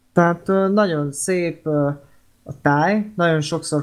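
Speaking at a fairly slow pace, the voice is heard on a very clean recording against a silent background. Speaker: podcast co-host, film discussion. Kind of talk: casual chat. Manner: halting, many fillers.

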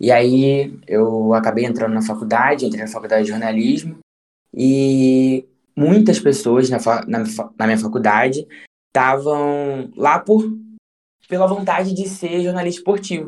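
The speech moves at a fairly slow pace with long, frequent pauses, and the pitch swings very widely. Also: man, medium pitch for a man. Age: 20s. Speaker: journalist. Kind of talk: casual interview chat.

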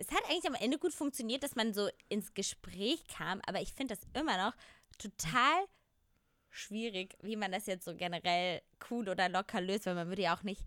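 A woman at a moderate pace with lively intonation, dry and close with no echo, on a very clean recording with a silent background. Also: medium pitch for a woman. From Germany, small village. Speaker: podcast co-host. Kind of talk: casual chat.

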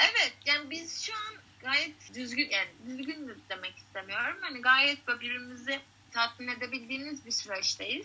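This woman's voice is high-pitched, raised and projected. There is noticeable background noise. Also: lively intonation, moderate pace. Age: 20s. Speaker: out-of-work bartender and acting student. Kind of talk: casual chat.

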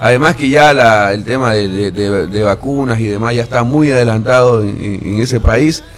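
With hardly any pauses, a man speaks at medium pitch against noticeable background noise. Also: ordinary pitch variation, moderate pace. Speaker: radio host. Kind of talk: morning radio show. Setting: radio studio.

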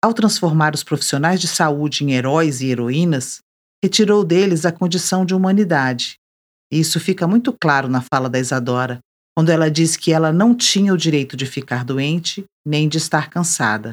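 A woman's very deep, low voice with lively intonation at a moderate pace, in a very clean recording over a silent background. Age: 50s. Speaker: podcast host. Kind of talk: scripted narration.

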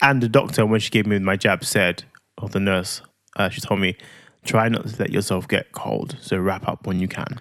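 A man with a London accent and a fairly low pitch, on a very clean recording with a silent background. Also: fairly even intonation, moderate pace. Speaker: podcast co-host and parent. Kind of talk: casual chat. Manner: playful.

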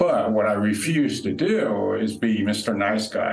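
There is noticeable background noise and audible room echo. A man talks at a fairly low pitch with ordinary pitch variation. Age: 50s. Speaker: recovery speaker. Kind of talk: interview testimony. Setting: retreat venue room.

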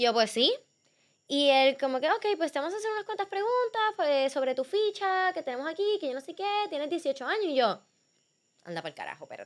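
An animated woman speaks with a Puerto Rican accent at an extremely high pitch. Her pace is fairly quick and her pitch swings very widely. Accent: Puerto Rican, noticeable. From Puerto Rico. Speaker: athlete. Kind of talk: casual chat.

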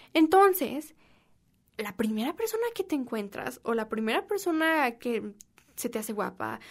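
Against a silent background on a very clean recording, a woman with a Mexican accent speaks in an animated tone at a moderate pace. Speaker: podcast host. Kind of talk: casual monologue.

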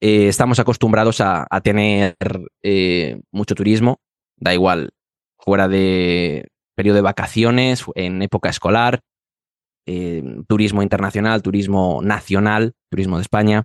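A man with a Madrid accent and fairly low pitch speaks at a fairly slow pace with fairly even intonation in a dry, close sound with no echo. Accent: Madrid Spanish, final d as z. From Madrid, Spain. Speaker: Spanish teacher. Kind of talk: interview for language learners. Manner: hesitant, many fillers.

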